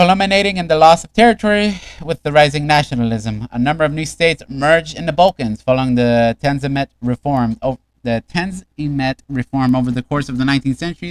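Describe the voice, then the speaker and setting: Speaking at a very fast pace with hardly any pauses, a man has a fairly high pitch and lively intonation. The sound is dry and close, with no echo. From Mexico. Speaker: streamer. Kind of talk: reading aloud. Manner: halting.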